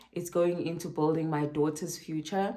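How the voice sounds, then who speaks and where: Room echo is audible as a woman speaks. Her very deep, low voice stays flat and monotone. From South Africa, Durban. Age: 30s. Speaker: vlogger. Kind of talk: casual talk to camera. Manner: slow, with many fillers.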